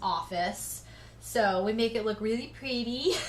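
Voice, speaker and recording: A fairly slow pace and ordinary pitch variation amid audible room echo. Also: woman. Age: 30s. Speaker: reaction channel host. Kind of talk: livestream Q&A chat. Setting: home office.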